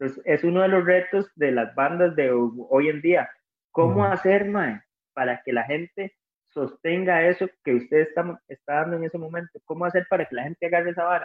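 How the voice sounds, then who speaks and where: This man's voice sits high for a man and shows big swings in loudness. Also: ordinary pitch variation, moderate pace. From Costa Rica, Cartago. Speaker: rock musician. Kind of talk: casual interview chat. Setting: remote call from home.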